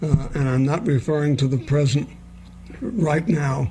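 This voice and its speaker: A man speaks over noticeable background noise. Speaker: talk radio host. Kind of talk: radio interview host.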